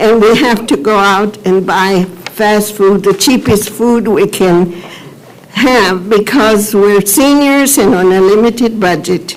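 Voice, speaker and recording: A woman speaks very slowly at a fairly high pitch, using ordinary pitch variation. Her loudness is very even, with noticeable background noise behind her. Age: 80s+. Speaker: public commenter at county meeting. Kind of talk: public testimony. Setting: public government meeting. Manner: halting.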